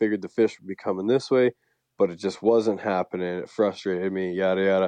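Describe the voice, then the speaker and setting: A man with a Canadian accent talks in an ordinary speaking voice at a moderate pace with fairly even intonation, the sound dry and close with no echo against a quiet background. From Canada. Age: 30s. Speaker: fishing guide and former pro mountain biker. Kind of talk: casual interview.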